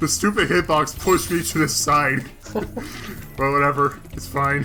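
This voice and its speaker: The man's voice is fairly high and his intonation lively, moving at a moderate pace over noticeable background noise. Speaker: gaming video host. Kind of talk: casual chat over gameplay.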